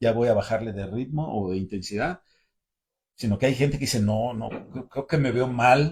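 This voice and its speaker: A man of medium pitch talks at a moderate pace, somewhat breathy, with ordinary pitch variation. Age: 60s. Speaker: caving and mountaineering instructor. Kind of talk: casual panel chat. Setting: livestream from club storeroom.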